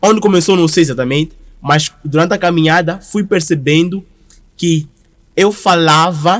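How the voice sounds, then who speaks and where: A man with a high pitch talks at a moderate pace, with ordinary pitch variation and very even loudness. He takes long, frequent pauses. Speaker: brand founder and creative director. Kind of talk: podcast interview.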